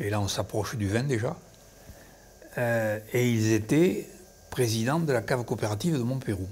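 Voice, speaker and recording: At a medium pitch and moderate pace, a man speaks somewhat breathily with ordinary pitch variation and long, frequent pauses. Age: 80s+. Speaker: winery manager, retired professor. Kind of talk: documentary interview. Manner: hesitant.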